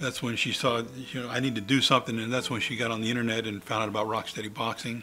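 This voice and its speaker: A man speaks at a very fast pace in a medium pitch. His intonation is monotone and flat. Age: 60s. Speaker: person with Parkinson's disease. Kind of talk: interview testimony. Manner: halting, many fillers.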